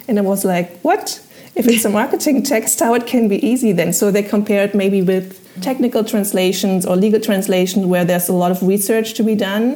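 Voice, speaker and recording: Over noticeable background noise, the speaker talks fairly quickly with a German accent, keeping loudness very even and pitch variation ordinary. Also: woman, medium pitch for a woman. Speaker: translator. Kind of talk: interview. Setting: video call.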